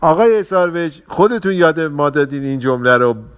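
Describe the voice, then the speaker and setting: A man's ordinary speaking voice moves along at a fairly quick pace, his intonation lively. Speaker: podcast host on relationships. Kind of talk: casual talk.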